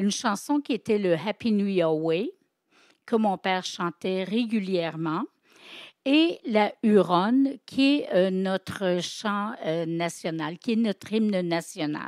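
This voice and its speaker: A woman talks very slowly at a medium pitch with lively intonation. The sound is dry and close with no echo, and the recording is very clean with a silent background. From Quebec. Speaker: storyteller and writer. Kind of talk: interview. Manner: hesitant.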